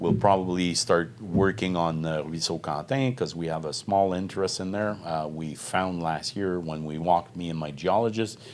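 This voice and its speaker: The voice has a Quebec French accent, a moderate pace, and ordinary pitch variation. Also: man. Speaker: mining company executive. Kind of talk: interview. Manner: halting.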